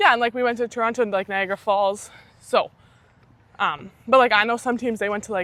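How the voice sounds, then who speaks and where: A woman's bright, sharp voice with a Canadian accent, fairly high in pitch, with fairly even intonation at a fairly quick pace. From Saskatchewan, Canada. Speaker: university athlete. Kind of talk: casual interview chat.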